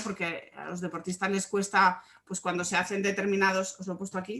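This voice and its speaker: A woman speaking at a fairly quick pace and medium pitch. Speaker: sports psychologist. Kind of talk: online workshop talk.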